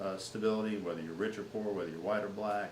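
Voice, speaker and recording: Audible room echo surrounds a man whose voice sits fairly low. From Louisiana. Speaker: political campaign manager. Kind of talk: interview. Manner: halting, many repeated words.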